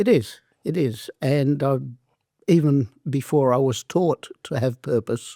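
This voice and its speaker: A man's fairly high-pitched voice with an Australian accent, dark, mellow tone, fairly slow pace and ordinary pitch variation, in a dry, close sound with no echo. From southern Italy, raised in Australia from age seven. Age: 70s. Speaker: former wrestler and entrepreneur. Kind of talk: interview.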